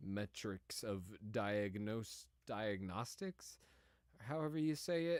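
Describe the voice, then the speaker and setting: A man with an American accent speaks at a very slow pace. His pitch is fairly low, with ordinary variation. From Cincinnati area, US Midwest. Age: 30s. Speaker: gaming streamer. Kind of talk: casual chat. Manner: halting.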